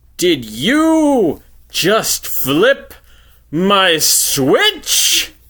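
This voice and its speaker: A man puts on a character voice, pitched high. His tone is theatrical. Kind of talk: comic overacting. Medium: read story. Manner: theatrical, showy.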